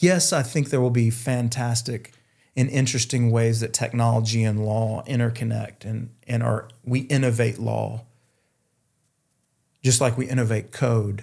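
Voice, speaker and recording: Speaking with a Southern US accent, a man has a dark, mellow tone, somewhat breathy, at medium pitch with fairly even intonation, on a very clean recording with a silent background. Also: moderate pace. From North Carolina, US South. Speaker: futurist and author. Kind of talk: interview conversation.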